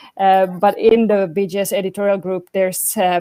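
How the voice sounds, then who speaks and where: A woman with a non-native accent talks at a moderate pace, her medium-pitched voice monotone and flat. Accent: non-native English speaker. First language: Swedish. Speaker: medical journal editor. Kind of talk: panel webinar talk. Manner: halting, many fillers.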